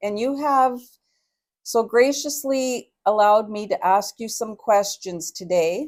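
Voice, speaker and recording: In a normal speaking voice, a woman talks at a fairly slow pace with a fairly high pitch and lively intonation. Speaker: interviewer. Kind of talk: interview questions.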